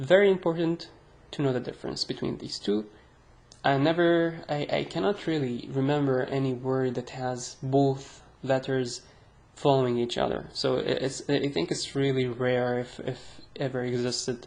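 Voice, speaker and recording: Her pitch very deep and low, a woman speaks with ordinary pitch variation. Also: moderate pace. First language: Arabic. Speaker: Arabic language teacher. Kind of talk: tutorial. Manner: casual, hesitant with fillers.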